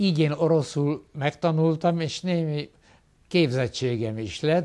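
A dark, mellow voice moves at a very slow pace with lively intonation. The background stays quiet. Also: man. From Hungary, Pécs; Hungary. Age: 70s. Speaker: retired professor. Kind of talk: interview. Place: office. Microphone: lapel.

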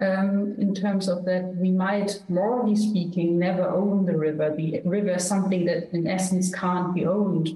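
A woman speaks at a moderate pace with very even loudness and hardly any pauses, her intonation monotone and flat against audible room echo. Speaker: philosopher. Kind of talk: panel discussion. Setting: video call. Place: home room. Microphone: video call.

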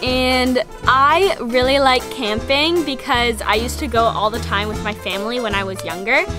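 Clear music plays behind a woman speaking at a moderate pace with an American accent. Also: hardly any pauses, dry sound with no echo. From Massachusetts, USA. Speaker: circus performer. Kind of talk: casual talk to camera. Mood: cheerful, friendly. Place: farm machine.

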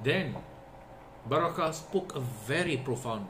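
At a moderate pace, a man talks with lively intonation amid noticeable background noise. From Singapore. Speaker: Islamic religious teacher; religious teacher. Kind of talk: religious lecture. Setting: online session. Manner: repetitive, with fillers.

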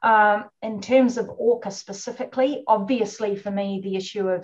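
A woman with a New Zealand accent speaks at a moderate pace in a somewhat breathy voice with fairly even intonation and hardly any pauses against a quiet background. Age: 50s. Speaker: orca researcher. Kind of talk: webinar interview.

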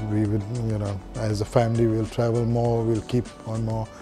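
Against clear music in the background, a man speaks at a moderate pace in a monotone, flat intonation. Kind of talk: interview answer. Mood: relaxed, reflective, light laughter. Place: home room. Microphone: lapel.

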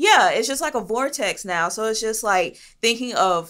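Against a quiet background, a woman speaks at a fairly slow pace with an animated tone and lively intonation. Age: 30s. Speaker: podcast host. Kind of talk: casual chat. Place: studio. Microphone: studio mic.

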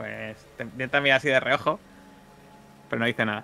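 With vocal fry and a bright, sharp tone, a man speaks at a medium pitch and moderate pace with fairly even intonation.

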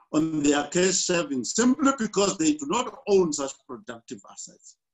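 A man talks at a moderate pace in a high voice with very wide pitch swings. The background is quiet. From South Africa, Soweto; South Africa. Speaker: economics lecturer and author; lecturer. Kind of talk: lecture. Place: office. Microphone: webcam.

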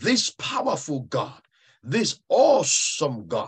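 Against a quiet background, a man speaks at a very slow pace with a fairly high pitch and very wide pitch swings. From Ghana. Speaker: pastor. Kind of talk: sermon. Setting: video call. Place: home room. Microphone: video call.

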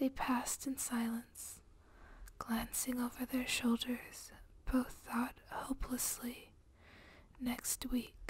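A soft-spoken woman is whispering. She goes at a very slow pace. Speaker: ASMR creator. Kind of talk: soft reading of flash fiction. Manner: whispered, soft-spoken. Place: home room. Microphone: studio mic.

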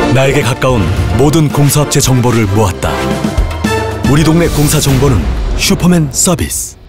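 Moderate-paced speech with long, frequent pauses over clear music in the background. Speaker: voice actor. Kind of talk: TV commercial read. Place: booth. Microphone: studio mic.

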